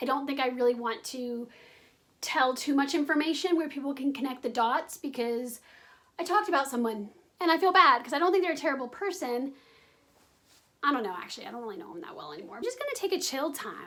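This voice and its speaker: A woman with a high-pitched, raised and projected voice talks very fast in a bright, sharp tone, with lively intonation and big swings in loudness. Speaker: vlogger. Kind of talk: casual vlog. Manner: chatty, filler-heavy.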